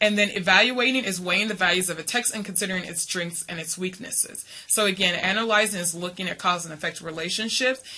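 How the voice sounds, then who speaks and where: Very fast talk from a woman at medium pitch, with ordinary pitch variation, big swings in loudness and noticeable background noise. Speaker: college reading instructor. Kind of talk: lecture. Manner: hesitant, many fillers.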